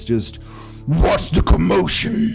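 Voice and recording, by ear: Clear music plays in the background as a man does a put-on character voice. The voice is gruff.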